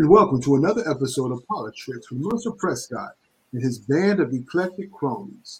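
The voice is somewhat breathy, with an American accent. It moves at a fairly quick pace with very wide pitch swings. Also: man. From New London, Connecticut. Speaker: podcast host. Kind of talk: show intro and casual chat.

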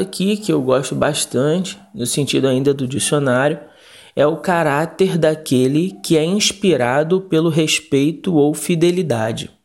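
In a very clean recording with a silent background, a man with a fairly high pitch and ordinary pitch variation speaks at a fairly slow pace. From Rio de Janeiro, Brazil. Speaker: pastor. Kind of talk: recorded Bible study. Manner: halting, with fillers.

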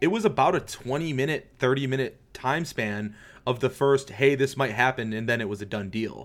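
A man with an American accent, a normal speaking voice, medium pitch, ordinary pitch variation and a moderate pace. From Detroit, Michigan. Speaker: basketball writer. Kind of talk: casual chat.

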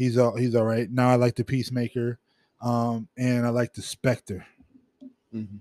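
A man's dark, mellow tone in a monotone, flat delivery with long, frequent pauses and a dry, close sound with no echo. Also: medium pitch for a man, moderate pace. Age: 40s. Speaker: podcast co-host. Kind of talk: casual chat. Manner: casual, filler-heavy.

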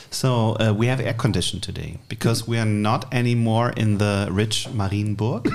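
With a German accent, a man at medium pitch talks at a fairly quick pace in a monotone, flat intonation with hardly any pauses, and audible room echo surrounds him. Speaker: podcast co-host. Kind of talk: casual chat.

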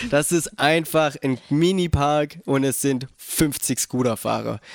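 A normal speaking voice with ordinary pitch variation comes through in a dry, close sound with no echo. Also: man. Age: 20s. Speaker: skateboarder and office clerk. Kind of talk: casual chat. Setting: host's living room.

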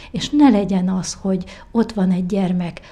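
A woman with a medium pitch talks at a very slow pace, her tone dark and mellow and somewhat breathy. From Hungary, Várpalota. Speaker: president of association for the visually impaired. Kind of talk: interview.

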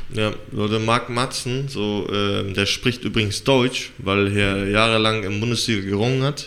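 With a normal speaking voice, a man talks at a fairly slow pace and fairly low pitch, his intonation fairly even and with hardly any pauses. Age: 30s. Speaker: podcast co-host and MMA trainee. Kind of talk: interview.

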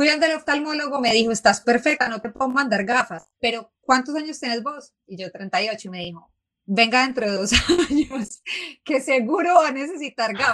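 Over a quiet background, a woman with a high pitch talks at a moderate pace, her intonation lively and her loudness swinging widely. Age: 30s. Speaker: feminist writer and podcaster. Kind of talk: casual conversation. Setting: live show with audience.

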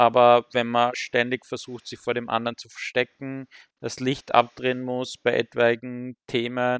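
On a very clean recording with a silent background and a dry, close sound with no echo, a man speaks at a fairly slow pace in a medium pitch. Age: 30s. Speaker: podcast guest. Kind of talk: casual chat.

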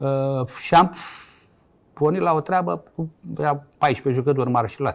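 A man talks at a fairly slow pace with long, frequent pauses. His pitch is fairly high, with ordinary variation. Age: 60s. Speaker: former footballer and coach. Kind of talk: interview. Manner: halting.

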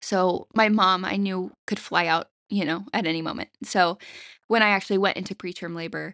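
In a quiet background, a woman with an American accent speaks at medium pitch in a bright, sharp tone with fairly even intonation. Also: dry, close sound with no echo. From US South. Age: 20s. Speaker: stay-at-home mother. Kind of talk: casual interview chat.

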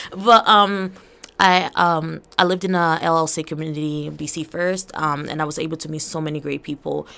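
On a very clean recording with a silent background, a woman speaks at a very deep, low pitch in a monotone, flat intonation. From Angola, raised in Portland, Maine from 2013. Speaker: student poet. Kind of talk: interview. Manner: hesitant with many fillers.

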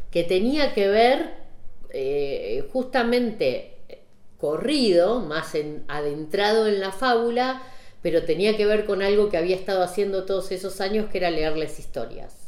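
A woman's fairly slow speech with lively intonation and audible room echo. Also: medium pitch for a woman. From Saladillo, Buenos Aires province, Argentina. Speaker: photographer. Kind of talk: casual chat. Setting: at her home.

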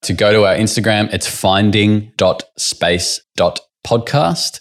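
A man speaks with an Australian accent. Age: 20s. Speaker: podcast host. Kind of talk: podcast intro and promo; casual interview chat.

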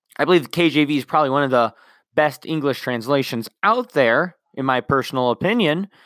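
A man with a normal speaking voice, fairly high in pitch with lively intonation, comes through dry and close with no echo on a very clean recording with a silent background. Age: 20s. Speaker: podcast host, Bible teacher. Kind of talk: casual Bible teaching monologue.

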